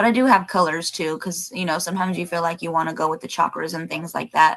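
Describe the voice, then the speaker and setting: Against noticeable background noise, a woman with a fairly low pitch talks at a very fast pace with ordinary pitch variation. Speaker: spiritual channel host, tarot reader. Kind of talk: live stream chat with viewers. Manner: casual, rambling with fillers.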